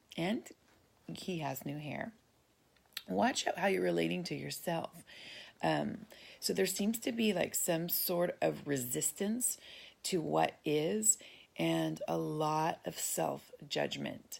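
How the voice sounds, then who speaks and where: On a very clean recording with a silent background, a woman speaks at a very slow pace with long, frequent pauses. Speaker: psychic medium. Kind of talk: intuitive reading. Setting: home, just out of bed. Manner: halting, many fillers.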